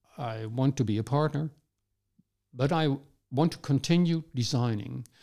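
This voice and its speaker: With a Dutch accent, a man speaks in a dark, mellow tone at a fairly slow pace with ordinary pitch variation. The recording is very clean, with a silent background. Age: 70s. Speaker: urban designer. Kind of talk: interview conversation. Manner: halting, repeats words.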